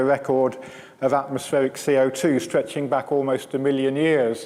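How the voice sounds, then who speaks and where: Noticeable background noise runs through the clip. A man speaks at a moderate pace. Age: 60s. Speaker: climate science professor. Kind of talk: public lecture. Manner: halting, many repeated words.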